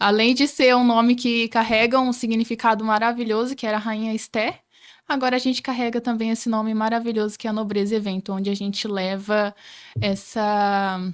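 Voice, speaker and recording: A woman talks at a fairly quick pace and a fairly high pitch in a flat monotone. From Rondônia, Brazil. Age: 20s. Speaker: entrepreneur, podcast guest. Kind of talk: interview.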